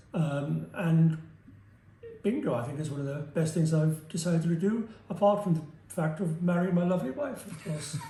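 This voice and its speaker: A man speaks at a moderate pace, fairly high in pitch with ordinary pitch variation. There is noticeable background noise and audible room echo. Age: 70s. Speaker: surgery patient. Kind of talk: testimony. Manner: halting.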